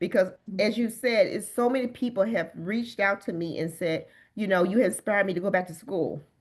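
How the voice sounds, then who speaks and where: A woman speaks in a normal speaking voice, at a medium pitch and fairly quick pace, with ordinary pitch variation. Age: 50s. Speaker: bodybuilder and wellness coach. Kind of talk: interview answer.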